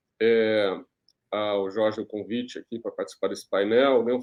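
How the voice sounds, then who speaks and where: This man has a plain, everyday voice with fairly low pitch. He talks at a moderate pace. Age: 60s. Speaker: journalist and executive producer. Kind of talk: panel discussion.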